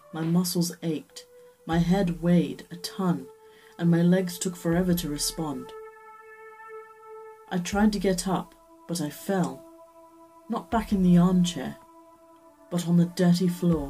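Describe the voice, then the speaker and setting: Over faint background music, a woman with a fairly low voice talks at a fairly slow pace, leaving long, frequent pauses. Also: fairly even intonation. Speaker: story reader and reviewer. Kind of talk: dramatic reading of a horror short story. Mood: dark, dramatic first-person narration. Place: home room. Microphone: webcam.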